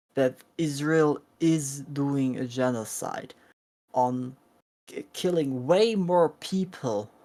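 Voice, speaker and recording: With a German accent, a woman speaks in a very deep, low voice of dark, mellow tone and ordinary pitch variation. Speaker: vegan activist streamer. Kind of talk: heated debate. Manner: halting, searching for words.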